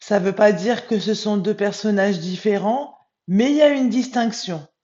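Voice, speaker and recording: The pace is moderate. Pitch variation is ordinary. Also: woman, medium pitch for a woman. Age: 40s. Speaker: spiritual medium. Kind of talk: vlog monologue. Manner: hesitant, many filler sounds.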